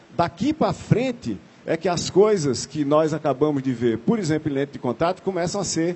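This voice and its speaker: This man talks at a moderate pace, his high pitch carried by lively intonation. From Brazil, Paraíba interior (Northeast). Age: 50s. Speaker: computer science professor and chief scientist. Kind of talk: talk to an audience.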